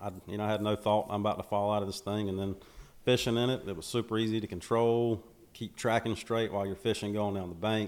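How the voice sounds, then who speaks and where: A voice with a Southern US accent speaks in a monotone, flat way on a very clean recording with a silent background. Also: man. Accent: Southern US (Georgia). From US South, Macon, Georgia. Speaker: bass fisherman, social media personality. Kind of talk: casual interview. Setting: on location near a lake.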